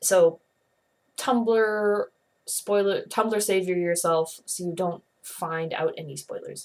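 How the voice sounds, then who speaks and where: A woman speaks at a medium pitch with ordinary pitch variation. Her loudness swings widely. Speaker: comic reviewer / video blogger. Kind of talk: casual video review. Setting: bedroom. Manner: fast; animated.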